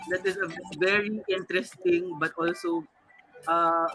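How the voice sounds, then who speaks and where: With music in the background, the talking unfolds fairly slowly. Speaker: talk show host. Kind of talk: panel discussion.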